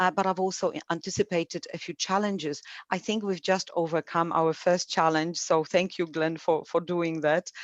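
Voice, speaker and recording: A woman with a Polish accent speaks in a flat monotone, hardly pausing at all. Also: fairly low pitch for a woman, moderate pace. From Poland. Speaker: academic coordinator and webinar moderator. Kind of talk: webinar introduction. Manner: halting, many fillers.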